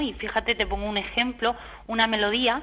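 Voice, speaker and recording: A woman talks with vocal fry and fairly even intonation. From Spain, Murcia. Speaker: lawyer, industrial property consultant. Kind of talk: radio interview.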